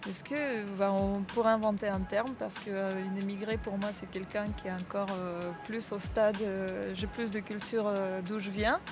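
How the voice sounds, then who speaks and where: Over music in the background and with audible room echo, a woman with a Russian accent and medium pitch speaks at a moderate pace with fairly even intonation and hardly any pauses. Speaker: podcast guest. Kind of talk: casual interview chat. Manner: halting, many hesitations.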